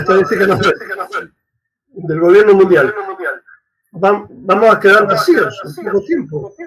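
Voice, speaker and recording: Speaking at a fairly slow pace, a man talks. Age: 70s. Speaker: priest and radio host. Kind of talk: interview conversation.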